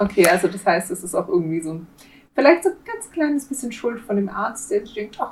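Talking at a fairly quick pace, a woman with a fairly high pitch makes very wide pitch swings and big swings in loudness. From Swabia, southwest Germany. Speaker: true crime podcast co-host. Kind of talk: casual chat.

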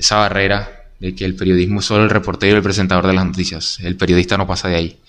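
At a very fast pace, a man speaks with a very deep, low pitch and monotone, flat intonation. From Colombia, Barranquilla. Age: 20s. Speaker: journalism student. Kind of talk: casual interview chat.

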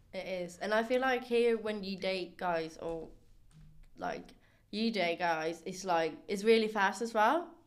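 A woman with a normal speaking voice at a medium pitch. She talks at a fairly slow pace with ordinary pitch variation. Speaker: student, host's best friend. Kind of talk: casual chat. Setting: studio.

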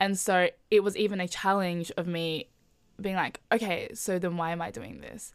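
Fairly even intonation in an Australian accent, big swings in loudness, on a very clean recording with a silent background. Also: woman, medium pitch for a woman, moderate pace. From Melbourne, Australia. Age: 20s. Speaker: podcast guest. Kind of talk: casual chat.

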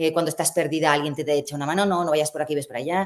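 A woman's voice, very deep and low in pitch. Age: 50s. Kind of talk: interview.

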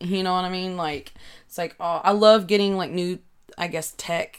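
Fairly even intonation comes through in a Kentucky accent on a very clean recording with a silent background. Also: woman. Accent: Southern US (Kentucky). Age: 20s. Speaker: podcaster. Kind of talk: casual solo chat. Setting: home recording with desk microphone. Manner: halting, many filler words.

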